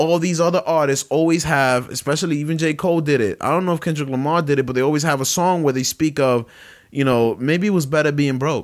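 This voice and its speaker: This man has a New York accent and speaks at a very fast pace, with a fairly high pitch and fairly even intonation. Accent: New York City. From Brooklyn, New York. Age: 20s. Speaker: podcast host. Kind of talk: casual chat. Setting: home kitchen.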